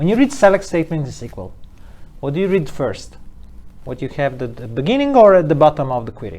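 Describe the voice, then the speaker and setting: A man speaks very fast in a fairly high pitch with very wide pitch swings and big swings in loudness. His tone is dark and mellow, with vocal fry. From Italy. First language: Italian. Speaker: data analytics expert and trainer. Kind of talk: casual interview. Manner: halting.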